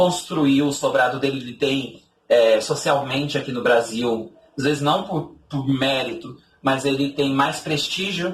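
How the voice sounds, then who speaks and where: The speaker has a Brazilian accent. The intonation is lively. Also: man. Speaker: literature teacher. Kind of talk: lecture. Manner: halting, many fillers and restarts.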